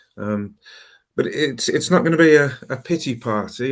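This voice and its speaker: In a Birmingham accent, a man talks at a moderate pace with ordinary pitch variation, the background quiet. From Birmingham, England. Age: 50s. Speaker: recovering alcoholic speaker. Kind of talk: personal testimony talk. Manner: halting, many fillers and repeats.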